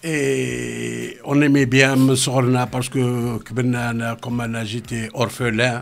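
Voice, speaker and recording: A man speaks very slowly at medium pitch in a monotone, flat intonation with hardly any pauses, over noticeable background noise. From Algeria, Oran. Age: 60s. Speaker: music producer. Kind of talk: radio interview. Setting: radio studio.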